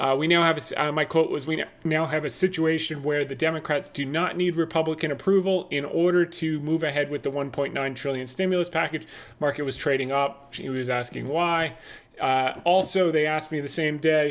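A man talks at a moderate pace with an American accent and fairly high pitch. His intonation stays fairly even in an unremarkable speaking voice. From New Jersey, Bergen County. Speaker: finance podcast host. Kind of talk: market commentary.

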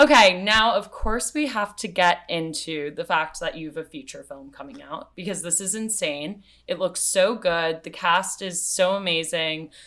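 Her pitch is medium and her tone bright and sharp as a woman talks at a moderate pace with hardly any pauses. Her intonation is lively, and her loudness swings widely. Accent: American. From New York City. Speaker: podcast host. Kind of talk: casual chat; solo podcast intro.

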